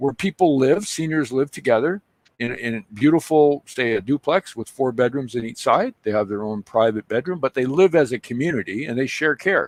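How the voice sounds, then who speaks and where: A plain, everyday voice with a Canadian accent, lively intonation, a moderate pace and hardly any pauses, dry and close with no echo. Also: man, medium pitch for a man. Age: 60s. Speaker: local businessman. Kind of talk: casual chat.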